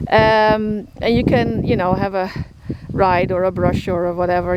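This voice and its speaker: The voice carries a Dutch accent. Background noise is noticeable. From Netherlands. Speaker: horse shelter keeper, vlogger. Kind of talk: casual vlog talk to camera. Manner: halting, many fillers.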